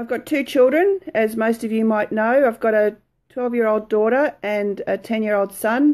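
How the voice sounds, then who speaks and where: Against a quiet background, a woman speaks fairly slowly with ordinary pitch variation. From Australia, Brisbane; Australia. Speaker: lifestyle blogger. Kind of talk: casual chat; casual vlog chat. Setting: live video stream from home. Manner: hesitant, many fillers. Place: home room. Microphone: phone near.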